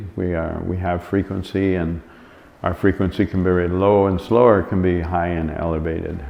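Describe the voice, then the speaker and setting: Over noticeable background noise, a man with a very deep, low pitch talks at a moderate pace in a relaxed tone with monotone, flat intonation. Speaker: musician and sound yoga teacher. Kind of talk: interview answer. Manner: relaxed, hesitant.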